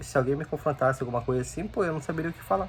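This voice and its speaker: A man speaks with fairly high pitch. His pitch variation is ordinary. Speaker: youtuber. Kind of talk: casual talk to camera, unscripted advice. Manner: halting, with repetitions.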